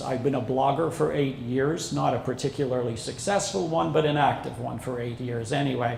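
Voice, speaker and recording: At a moderate pace, a man with a medium pitch talks with fairly even intonation, with audible room echo and noticeable background noise. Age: 60s. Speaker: social media consultant and instructor. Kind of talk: seminar presentation. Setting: seminar with live audience.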